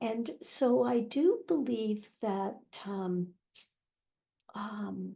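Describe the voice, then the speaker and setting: Very slow and marked by long, frequent pauses, a woman's fairly high voice has a dark, mellow tone and lively intonation. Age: 80s+. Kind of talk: interview answer.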